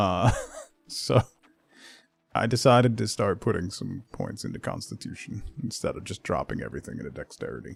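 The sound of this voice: A man with a low pitch speaks at a moderate pace, his voice showing vocal fry, a slightly husky edge and very wide pitch swings.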